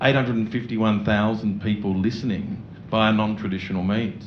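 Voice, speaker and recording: A man with an Australian accent, fairly low in pitch, fairly even in intonation, with audible room echo. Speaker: radio network executive. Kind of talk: panel discussion.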